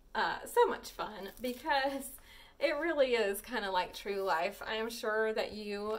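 Lively intonation carried by a natural reading voice.

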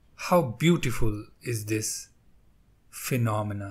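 A man's fairly low, somewhat breathy voice in a calm, soothing tone at a very slow pace. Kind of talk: guided meditation. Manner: slow, soft, calm and soothing with long pauses.

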